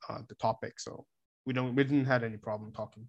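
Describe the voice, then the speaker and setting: Speaking with a Korean accent, a man has a medium pitch, a bright, sharp tone and fairly even intonation. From South Korea. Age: 20s. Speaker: exchange student. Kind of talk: casual interview.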